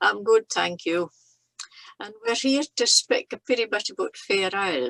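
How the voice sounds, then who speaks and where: A woman with a Shetland accent speaks at a moderate pace in a fairly high, bright, sharp voice with lively intonation, recorded dry and close with no echo. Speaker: knitter. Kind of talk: conversation.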